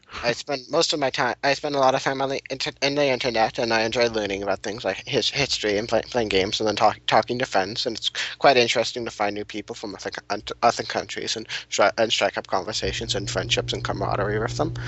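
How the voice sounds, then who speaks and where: Talking at a very fast pace with hardly any pauses, this man has an American accent. His medium-pitched voice carries vocal fry. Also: ordinary pitch variation. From California, US. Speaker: student podcast guest. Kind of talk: casual interview. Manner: fast, stammering.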